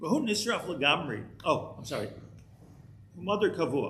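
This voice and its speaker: There is audible echo from the room. The speaker is a man. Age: 60s. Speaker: rabbi teaching a Torah class. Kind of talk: lecture. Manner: halting, many repeated words.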